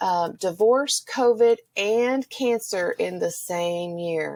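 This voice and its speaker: In a Texan accent, the speaker goes at a very slow pace on a very clean recording with a silent background. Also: woman. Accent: Texan accent, noticeable. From Texas. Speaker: Spanish teacher. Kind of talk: personal interview testimony.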